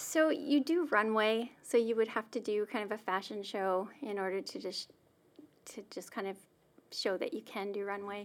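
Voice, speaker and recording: With a plain, everyday voice, a woman speaks at a moderate pace and fairly high pitch with ordinary pitch variation, in a very clean recording with a silent background. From Saskatchewan, Canada. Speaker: church staff member sharing personal story. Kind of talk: interview, personal testimony.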